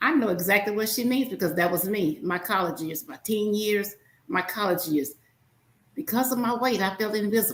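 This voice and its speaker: With a Southern US accent, a woman speaks at a fairly quick pace in a somewhat breathy, animated voice of medium pitch, her intonation lively. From US South. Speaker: podcast host. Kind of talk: podcast interview. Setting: studio.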